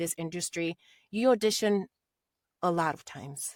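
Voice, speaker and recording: A slight Spanish accent at a moderate pace with ordinary pitch variation, in a very clean recording with a silent background. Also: woman, dry, close sound with no echo. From Latin America. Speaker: voice actor. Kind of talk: interview.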